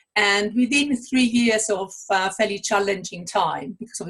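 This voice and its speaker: A woman speaks with an Italian accent at a moderate pace. Her pitch sits in the middle range, with ordinary variation. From Italy. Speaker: author and coach. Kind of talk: interview.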